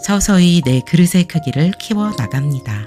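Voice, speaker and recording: A woman talks at a very slow pace in a calm, soothing tone, her pitch swinging very widely. Music plays in the background. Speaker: meditation guide. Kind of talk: guided meditation with positive affirmations.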